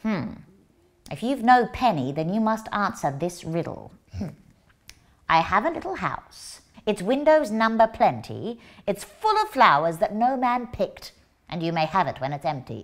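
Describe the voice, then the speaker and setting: A female-sounding put-on character voice at a medium pitch moves at a moderate pace with long, frequent pauses. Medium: stage play. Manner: brusque, scolding.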